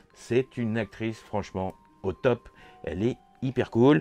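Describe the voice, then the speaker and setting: Dry and close with no echo, a man's voice comes through over music in the background. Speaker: toy and horror film YouTuber. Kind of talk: casual vlog recap. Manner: chatty, many hesitations.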